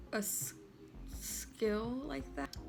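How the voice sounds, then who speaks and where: Music plays in the background as a soft-spoken woman talks. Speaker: artist. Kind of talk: casual talk to camera. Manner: quiet, soft-spoken.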